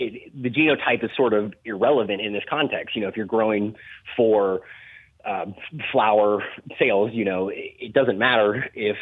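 A man's fairly low voice, a plain, everyday voice, with ordinary pitch variation. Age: 30s. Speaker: cannabis grower and consultant. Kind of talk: casual interview.

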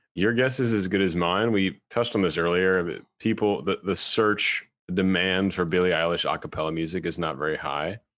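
In an American accent, a man with a very deep, low voice talks at a moderate pace with ordinary pitch variation. The background is quiet. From US South. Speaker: podcast host and opera singer. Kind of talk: casual chat.

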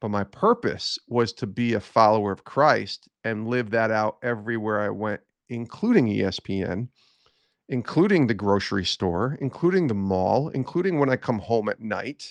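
A normal speaking voice from a man at medium pitch, with lively intonation and a moderate pace. The sound is dry and close with no echo, over a quiet background. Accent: American. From upstate New York (Albany area). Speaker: sports broadcaster and author. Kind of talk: faith testimony interview.

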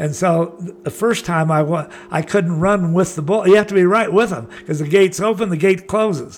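With an American accent, a man speaks in a high pitch with ordinary pitch variation, and there is noticeable background noise. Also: moderate pace, hardly any pauses. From Southern California (Laguna Beach). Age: 80s+. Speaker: surfer and adventure traveler. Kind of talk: interview storytelling.

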